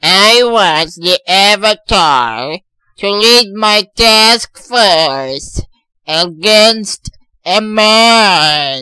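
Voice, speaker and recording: Using a cartoonish character voice, a man with a high pitch speaks in a raised, projected voice at a very slow pace with lively intonation, the sound dry and close with no echo. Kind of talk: comic overacting. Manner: pompous, gleefully unhinged.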